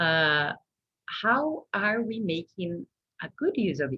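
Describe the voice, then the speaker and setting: Very wide pitch swings mark this woman's speech. Her voice is somewhat breathy. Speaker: food science researcher. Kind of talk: Q&A after a seminar presentation. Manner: clear communicator.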